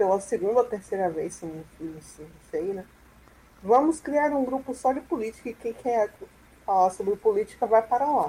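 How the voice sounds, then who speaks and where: This is a normal speaking voice. It moves at a moderate pace with lively intonation. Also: woman, fairly high pitch for a woman. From Salvador, Bahia, Brazil. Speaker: free software user and advocate. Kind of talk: online panel discussion.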